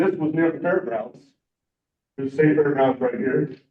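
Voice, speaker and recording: Fairly high-pitched male voice with ordinary pitch variation. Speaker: city traffic engineer presenting to committee. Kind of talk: presentation. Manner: fast.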